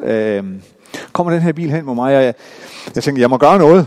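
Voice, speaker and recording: A moderate pace with ordinary pitch variation. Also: man. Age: 50s. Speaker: pastor. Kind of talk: sermon. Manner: halting.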